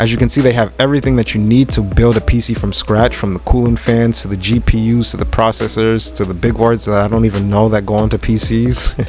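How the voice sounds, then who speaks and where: Over music in the background, a man talks at a very fast pace with hardly any pauses. His intonation is lively. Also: fairly low pitch for a man. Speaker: YouTube vlogger. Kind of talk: vlog narration. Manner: casual, filler-heavy.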